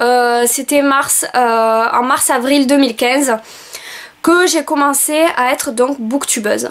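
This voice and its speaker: A woman speaks very slowly at a high pitch, with ordinary pitch variation and very even loudness. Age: 20s. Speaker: book vlogger and school assistant. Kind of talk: video self-presentation. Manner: hesitant, many filler sounds.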